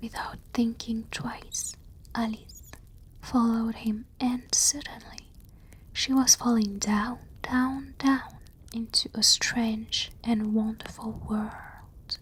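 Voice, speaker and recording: Soft-spoken speech at a very slow pace. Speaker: ASMR storyteller. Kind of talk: bedtime story reading.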